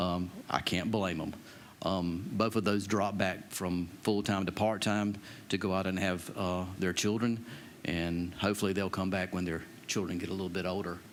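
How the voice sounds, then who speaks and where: A man with an American accent speaks in a very deep, low pitch with monotone, flat intonation. He keeps a moderate pace, and the room echo is audible. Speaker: county EMS director. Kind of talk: budget presentation to council. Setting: county council meeting.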